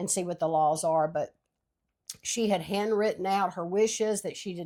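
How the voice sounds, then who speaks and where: A woman speaks with a Louisiana accent at a medium pitch. Her tone is dark and mellow, and her intonation stays monotone and flat. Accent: Southern US (Louisiana). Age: 60s. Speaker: podcast co-host. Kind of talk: casual chat.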